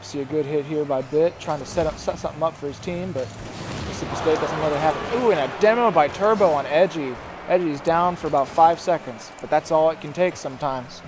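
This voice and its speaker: A man talking very fast, fairly high-pitched, with ordinary pitch variation over noticeable background noise. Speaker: esports shoutcaster. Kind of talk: live esports play-by-play commentary. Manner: excited, casual, first-time caster with some filler words.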